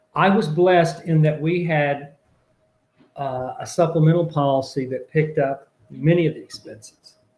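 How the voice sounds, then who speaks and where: A man with a normal speaking voice, fairly high pitch, fairly even intonation, moderate pace and big swings in loudness. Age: 60s. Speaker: political candidate. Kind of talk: interview.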